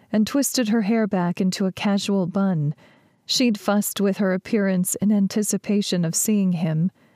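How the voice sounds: The speaker uses a natural reading voice.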